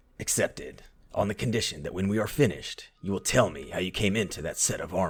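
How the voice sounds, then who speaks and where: A man rattles off lines at a very fast pace in a put-on character voice. His pitch sits fairly low. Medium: audio drama. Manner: cocky, sardonic.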